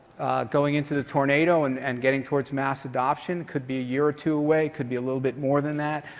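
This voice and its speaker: Fairly high-pitched man with a New York accent, fairly quick and monotone, with flat intonation. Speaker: conference organizer and speaker. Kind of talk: conference keynote talk. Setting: stage with audience. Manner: fast.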